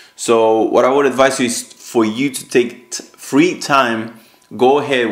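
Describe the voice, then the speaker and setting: The speaker is a man. His speech carries a Spanish accent. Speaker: online business youtuber. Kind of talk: casual chat.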